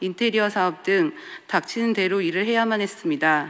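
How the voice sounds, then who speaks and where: A woman speaks in an unremarkable speaking voice with ordinary pitch variation. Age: 30s. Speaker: artist giving church testimony. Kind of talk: testimony. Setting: church.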